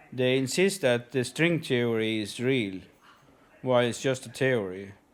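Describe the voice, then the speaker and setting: On a very clean recording with a silent background, a man with a non-native accent talks at a medium pitch with ordinary pitch variation. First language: not English. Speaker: conspiracy video uploader. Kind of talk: monologue to camera. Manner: halting, many fillers.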